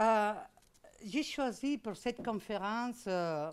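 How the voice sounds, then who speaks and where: A very slow pace with a Spanish accent and lively intonation. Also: woman. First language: Spanish or Catalan (speaking French). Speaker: law professor. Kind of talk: lecture. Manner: hesitant, many fillers.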